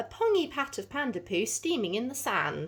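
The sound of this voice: Fairly high in pitch with big pitch swings, a woman speaks at a moderate pace in a fairly bright tone with a slightly husky edge.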